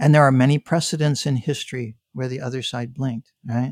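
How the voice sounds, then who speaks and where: At a moderate pace, a man talks in a plain, everyday voice of medium pitch with ordinary pitch variation. The sound is dry and close, with no echo. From Canada. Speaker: business strategist. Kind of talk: interview.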